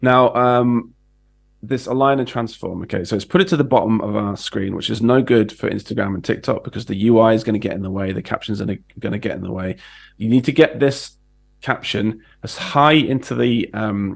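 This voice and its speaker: In a British accent, a man speaks at a fairly quick pace. His voice has a medium pitch. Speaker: design educator. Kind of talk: tutorial. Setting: livestream.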